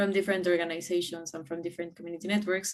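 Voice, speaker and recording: A woman speaks in a Spanish accent at a fairly low pitch. Her intonation stays fairly even. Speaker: community network regional coordinator. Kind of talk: conference presentation. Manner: hesitant, many fillers.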